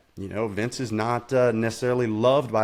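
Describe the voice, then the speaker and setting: Fairly quick speech from a man with an unremarkable speaking voice, pitched medium. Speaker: motorsports announcer. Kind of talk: podcast interview answer.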